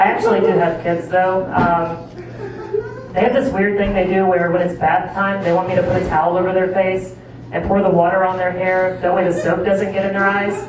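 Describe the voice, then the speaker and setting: Amid noticeable background noise, a speaker with an American accent talks at a fairly quick pace, at a very even loudness and in a monotone, flat manner. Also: woman, medium pitch for a woman. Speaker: stand-up comedian; tattoo artist. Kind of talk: stand-up comedy set to a live audience. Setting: live comedy club with audience.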